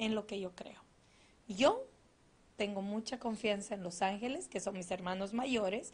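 Somewhat breathy, a woman talks at a moderate pace in a fairly high pitch with ordinary pitch variation. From Bolivia, Cochabamba. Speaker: angel therapist and spiritual show host. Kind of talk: spiritual talk and live card readings. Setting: live online broadcast. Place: studio. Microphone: studio mic.

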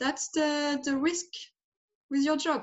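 A woman speaks with a French accent. The background is quiet. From France. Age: 30s. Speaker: life transition guide. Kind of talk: interview. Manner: halting. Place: home room. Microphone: video call.

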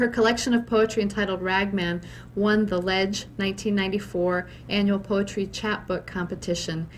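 A woman talks in an unremarkable speaking voice. Her pitch is medium, her pace moderate and her intonation fairly even. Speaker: library curator. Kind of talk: formal event introduction. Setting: library event with live audience.

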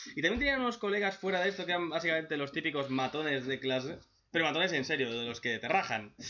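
A man talks at a very fast pace, his pitch fairly high. His tone is animated and his intonation lively. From Spain. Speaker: manga reaction youtuber; webcomic reaction youtuber. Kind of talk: casual commentary; casual commentary recapping a comic.

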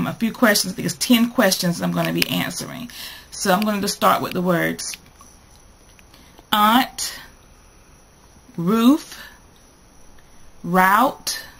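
A very slow-speaking woman with a North Carolina accent, with long, frequent pauses. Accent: North Carolina Southern US. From North Carolina, USA. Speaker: vlogger. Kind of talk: casual talk to camera. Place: home room. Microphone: webcam.

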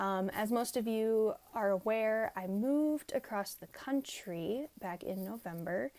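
Speaking at a fairly slow pace with hardly any pauses, a woman has a fairly high pitch, ordinary pitch variation, and a dark, mellow tone. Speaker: planner and journaling vlogger; journaling vlogger. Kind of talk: casual vlog talk over a plan-with-me video.

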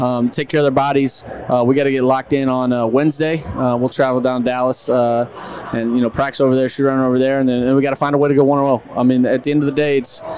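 This man talks fast with few pauses, at a medium pitch and with little pitch movement. His tone is slightly mellow, and there is faint background noise.

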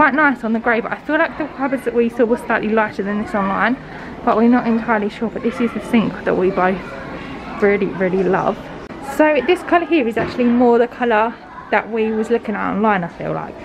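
With crowd noise behind her, a woman talks at a fairly quick pace with ordinary pitch variation. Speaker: vlogger. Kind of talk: casual vlog chat. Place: shop. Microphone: phone near.

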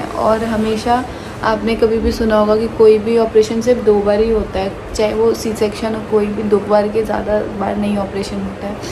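There is noticeable background noise as a woman speaks at a moderate pace with monotone, flat intonation. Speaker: family vlogger. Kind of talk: casual vlog chat. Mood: worried, subdued. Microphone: phone near.

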